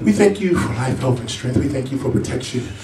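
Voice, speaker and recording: Amid light background noise and audible room echo, a man talks with ordinary pitch variation. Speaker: preacher. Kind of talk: sermon scripture reading. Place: church. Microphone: camera far.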